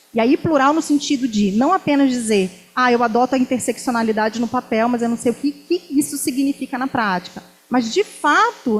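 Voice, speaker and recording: Over noticeable background noise, a woman talks at a moderate pace with a high pitch and ordinary pitch variation. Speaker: university professor. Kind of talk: academic talk. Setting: lecture hall with student audience.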